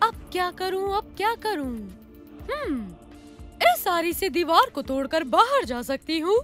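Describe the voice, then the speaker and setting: A cartoonish character voice at a moderate pace, with long, frequent pauses and clear music in the background. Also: female-sounding voice, extremely high pitch for a woman. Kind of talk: cartoon voice acting.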